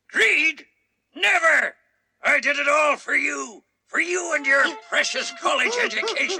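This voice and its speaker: A man's cartoonish character voice broken by long, frequent pauses. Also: moderate pace. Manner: bossy, blustering.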